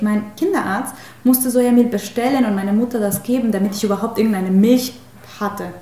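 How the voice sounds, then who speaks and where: At a fairly quick pace, a woman with a Spanish accent speaks at a fairly high pitch amid audible room echo. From Mexico. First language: Spanish (speaking German). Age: 30s. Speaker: spiritual healer. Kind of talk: interview.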